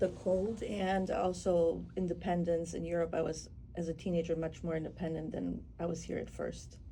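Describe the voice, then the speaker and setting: A woman talks with hardly any pauses, and the room echo is audible. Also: moderate pace. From Germany (West Berlin), Polish family; Chicago from 14. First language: Polish and German. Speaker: photographer. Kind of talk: radio interview.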